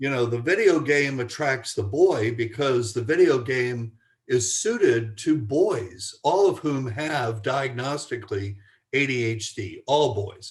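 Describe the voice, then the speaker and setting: With lively intonation and a somewhat breathy quality, a man speaks at a fairly slow pace and medium pitch. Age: 70s. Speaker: family psychologist and author. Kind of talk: podcast interview. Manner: halting, with frequent repetitions.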